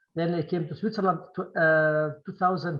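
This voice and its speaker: The speaker has a somewhat breathy voice with a non-native accent. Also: man. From Syrian Kurdistan (Qamishli). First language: Kurdish. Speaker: film director. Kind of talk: Q&A interview. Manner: halting, many repetitions.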